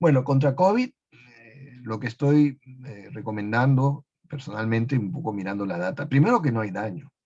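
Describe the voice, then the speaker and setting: The voice is somewhat breathy and its loudness swings widely. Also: man. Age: 70s. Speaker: medical researcher. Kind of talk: webinar Q&A. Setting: live webinar.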